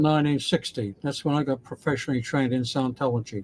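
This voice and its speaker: The voice has an Australian accent and ordinary pitch variation. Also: man. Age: 80s+. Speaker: former Scientologist. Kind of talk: interview answer.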